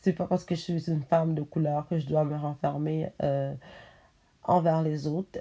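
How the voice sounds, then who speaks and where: A woman's very deep, low voice, dark and mellow in tone, flat and monotone, over a quiet background. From Montreal, Quebec, Haitian family. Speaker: vlogger. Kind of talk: casual vlog talk to camera. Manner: halting, many fillers.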